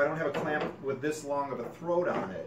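Noticeable background noise runs through the clip. A man talks over it at a moderate pace. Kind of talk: tutorial. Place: workshop. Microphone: camera far.

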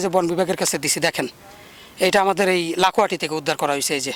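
There is noticeable background noise behind this man, though his sound is dry and close with no echo. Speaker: snake rescuer and awareness campaigner. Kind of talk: field interview and debate. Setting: outdoors.

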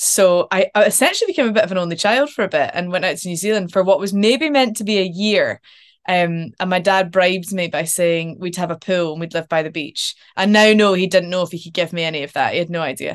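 The speaker has a Scottish accent and ordinary pitch variation. Delivery is very fast, against a quiet background. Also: woman, medium pitch for a woman. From Scotland. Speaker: actor. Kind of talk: casual interview chat. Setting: video call. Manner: chatty, laughs often. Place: home room. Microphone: video call.

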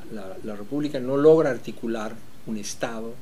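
Ordinary pitch variation from a male speaker, with light noise in the background. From Bolivia, La Paz. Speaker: composer and orchestra director; interviewee. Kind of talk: reflective interview; interview answer. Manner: halting with frequent fillers and repetitions. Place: home room.

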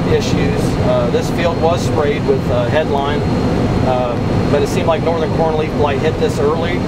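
A man at a moderate pace over loud background noise. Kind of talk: interview answer. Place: farm machine. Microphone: camera far.

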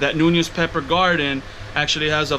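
A man at a very fast pace with fairly even intonation, over light background noise. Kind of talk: casual vlog chat. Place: home room. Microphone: phone near.

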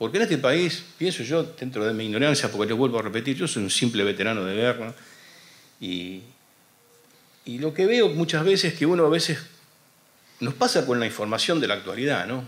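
A man at a moderate pace with lively intonation. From Argentina. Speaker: war veteran and radio host. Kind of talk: panel talk. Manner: halting. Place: hall. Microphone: podium.

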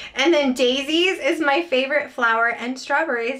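Bright and sharp in tone, a woman speaks with lively intonation. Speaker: haul vlogger. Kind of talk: casual vlog chat. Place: home room.

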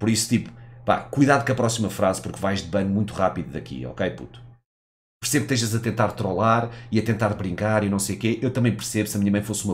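At a very fast pace, a man speaks in an animated tone with vocal fry and ordinary pitch variation. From Portugal. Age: 30s. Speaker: gaming streamer. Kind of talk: live stream commentary. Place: home room. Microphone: headset.

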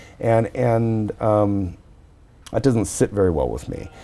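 A man with an American accent talks at a fairly slow pace. His pitch variation is ordinary. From US West Coast, San Jose; California. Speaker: anthropology researcher; interviewee. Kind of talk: interview. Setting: conference venue. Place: hall. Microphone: lapel.

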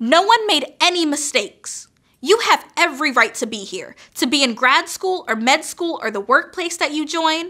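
A woman's raised, projected voice, high-pitched with a bright, sharp tone and very wide pitch swings, at a moderate pace against a quiet background. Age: 20s. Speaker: PhD student and commencement speaker; speaker. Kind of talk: commencement speech. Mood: earnest, encouraging. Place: studio. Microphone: podium.

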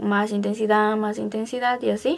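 Vocal fry runs through a slightly mellow tone at a moderate pace, with faint music in the background. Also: woman.

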